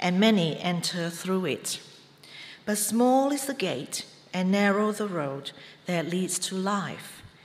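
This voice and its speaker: Someone speaks fairly slowly with lively intonation over noticeable background noise. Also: woman. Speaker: scripture reader. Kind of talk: reading aloud. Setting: church.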